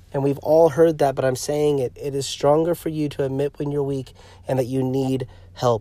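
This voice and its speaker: A fairly high-pitched man with a dark, mellow tone and fairly even intonation. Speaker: podcast host, pastor and comedian. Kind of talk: fervent pastoral appeal urging listeners to seek help. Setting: recording alone in a parked car, traffic audible. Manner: earnest, pleading and insistent with repeated imperatives; halting, with frequent fillers and self-restarts.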